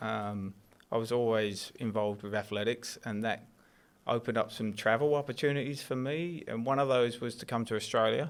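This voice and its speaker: This man talks at a fairly quick pace with an English accent, his pitch medium and its variation ordinary. The recording is very clean, with a silent background. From southeast England, Kent. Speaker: athletics coach. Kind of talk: casual chat.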